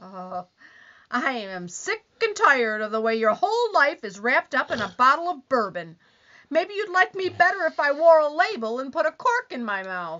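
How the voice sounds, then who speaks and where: At a moderate pace, a woman speaks in a high pitch with very wide pitch swings. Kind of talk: 1940s radio comedy acting. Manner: complaining, whiny, accusing.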